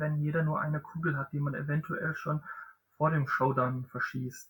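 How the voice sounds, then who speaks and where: With a bright, sharp tone, a man speaks in a fairly high pitch with fairly even intonation. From southern Germany. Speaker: board game podcast host. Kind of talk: casual chat.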